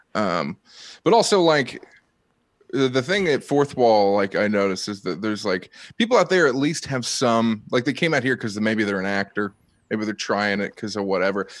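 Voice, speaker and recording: A man speaks with a Midwestern accent at a moderate pace. His intonation is lively. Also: fairly low pitch for a man, very clean recording, silent background. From Ohio. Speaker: comedian. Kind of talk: casual chat.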